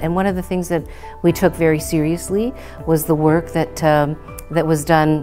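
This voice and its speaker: Clear music plays in the background as the speaker goes at a moderate pace with ordinary pitch variation. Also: woman, fairly low pitch for a woman. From Ontario, Canada. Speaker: political party leader. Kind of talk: interview answer. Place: classroom. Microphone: lapel.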